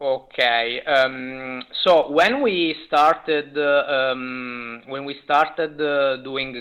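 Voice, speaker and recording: At a very slow pace, a man with an Italian accent speaks at medium pitch with fairly even intonation. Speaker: indie game developer. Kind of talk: interview. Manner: halting, many fillers.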